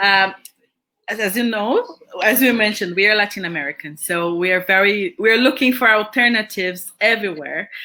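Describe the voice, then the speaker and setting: Speaking with a Brazilian accent, a woman has a fairly high pitch. She keeps a moderate pace with ordinary pitch variation. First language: Portuguese. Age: 40s. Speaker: education agency representative. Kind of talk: interview. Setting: livestream.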